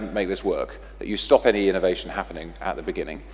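A man with a British accent talks at a very fast pace. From England. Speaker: technology company executive. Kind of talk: panel discussion Q&A. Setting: stage with audience. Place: hall. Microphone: headset.

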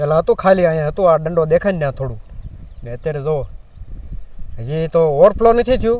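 With ordinary pitch variation, the man's voice sits fairly high. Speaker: farming vlogger. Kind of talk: casual vlog narration. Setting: outdoors on farm in rain and wind.

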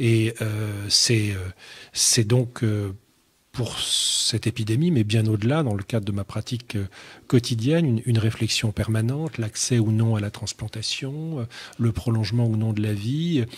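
A man talks at a fairly slow pace in a somewhat breathy voice, with ordinary pitch variation. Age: 50s. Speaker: writer and doctor; guest. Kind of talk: radio interview. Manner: halting. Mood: thoughtful, measured. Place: studio. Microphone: studio mic.

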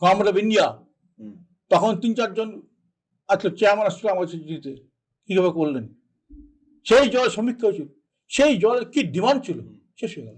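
This man's voice is high-pitched, with lively intonation. His loudness swings widely. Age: 70s. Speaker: politician. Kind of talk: interview. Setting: studio. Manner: grave, serious.

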